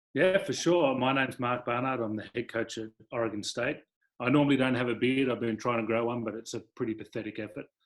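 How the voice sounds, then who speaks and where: A man with an Australian accent talks at a very fast pace, his medium-pitched voice keeping a fairly even intonation. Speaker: college volleyball head coach. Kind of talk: panel discussion.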